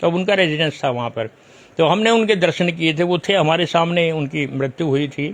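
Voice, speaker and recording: With ordinary pitch variation, a man with a high pitch talks at a moderate pace. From Narela, Delhi, India. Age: 80s+. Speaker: local historian and author. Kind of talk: interview. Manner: storytelling, occasional halting.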